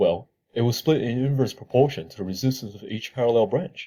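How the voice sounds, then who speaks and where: A man's dark, mellow, somewhat breathy tone with lively intonation at a fairly quick pace. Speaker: engineering student presenting a tutorial. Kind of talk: tutorial.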